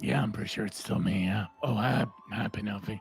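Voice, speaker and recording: A raspy, put-on character voice from a man, fairly low in pitch and fairly quick in pace, with clear music in the background. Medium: actual play. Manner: hesitant, stammering.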